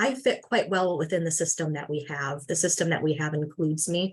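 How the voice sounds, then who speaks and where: A woman's fairly low voice with a Midwestern US accent. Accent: US Midwest. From Michigan. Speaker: farmworker health advocate. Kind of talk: presentation.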